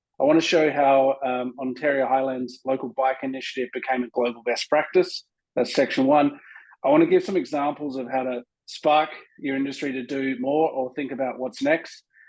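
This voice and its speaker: The speaker talks with an Australian accent at a moderate pace. The intonation is fairly even. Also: man, medium pitch for a man. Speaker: tourism consultant, agency co-founder. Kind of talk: conference presentation.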